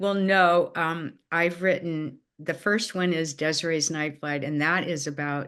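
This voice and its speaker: Against a quiet background, a woman speaks in a very deep, low voice with monotone, flat intonation. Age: 80s+. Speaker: retired teacher and children's author. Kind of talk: interview. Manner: halting.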